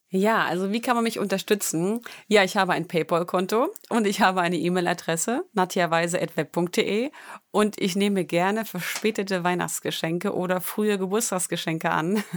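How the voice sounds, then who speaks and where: It is a very clean recording with a silent background. A woman speaks in a normal speaking voice with fairly even intonation. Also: medium pitch for a woman, moderate pace. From Thuringia, near Gotha. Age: 30s. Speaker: dancer and online dance instructor. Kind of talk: interview.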